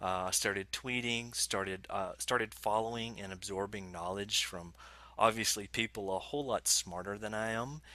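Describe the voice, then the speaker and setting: A man with an American accent, fairly low pitch and a bright, sharp tone, fairly even intonation at a moderate pace, dry sound with no echo. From Alabama, US South. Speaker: software developer evangelist; guest. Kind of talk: casual interview chat. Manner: halting, many fillers and repeats. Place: home room.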